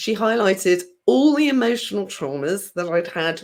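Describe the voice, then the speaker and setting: A woman speaks in a southern English accent, her pitch swinging very widely. The recording is very clean, with a silent background. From southern England, countryside, born London. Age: 50s. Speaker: healer. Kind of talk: interview.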